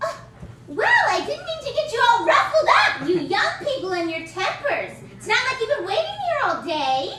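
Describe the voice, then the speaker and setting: Amid loud background noise and slight echo, a woman does a put-on character voice at an extremely high pitch, with very wide pitch swings and a moderate pace. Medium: stage play. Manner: chatty, brassy.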